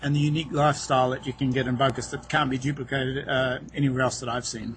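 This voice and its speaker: A very fast man's voice in a New Zealand accent, fairly high-pitched, with fairly even intonation. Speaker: real estate agent. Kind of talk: interview. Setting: outdoors on a boat dock, over wireless internet.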